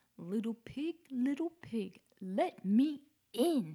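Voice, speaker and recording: Growling, a female-sounding put-on character voice stays at a fairly high pitch. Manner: menacing, growling.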